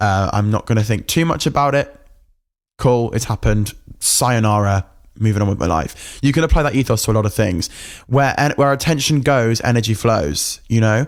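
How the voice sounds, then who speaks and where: An animated man with an English accent at very even loudness, on a very clean recording with a silent background. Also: medium pitch for a man, ordinary pitch variation. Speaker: podcast host. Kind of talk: casual rant monologue. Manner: fast.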